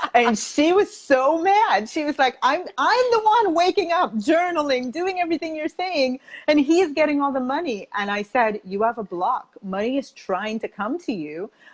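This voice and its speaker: A woman's high voice with very wide pitch swings, at a moderate pace with hardly any pauses, dry and close with no echo, over noticeable background noise. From Jamaica. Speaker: money coach and speaker. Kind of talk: interview. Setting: live video stream. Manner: animated.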